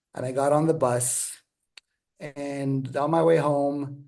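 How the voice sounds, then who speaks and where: A man with a dark, mellow tone and a fairly high pitch speaks in a monotone, flat manner amid audible room echo. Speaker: author and teacher. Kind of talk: interview. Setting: video call. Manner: halting.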